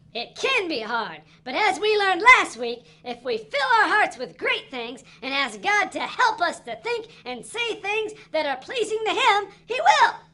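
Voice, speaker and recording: A cartoonish character voice pitched extremely high moves at a moderate pace. Its pitch swings very widely. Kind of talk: children's puppet show.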